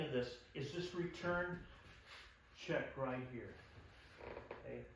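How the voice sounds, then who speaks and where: A man speaks at a very slow pace. There is noticeable background noise and audible room echo. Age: 60s. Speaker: self-defense instructor. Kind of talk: tutorial. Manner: halting, filler-heavy.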